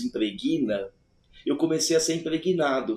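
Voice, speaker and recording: A man's voice with ordinary pitch variation. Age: 60s. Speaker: alchemist and former music producer. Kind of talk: casual interview conversation.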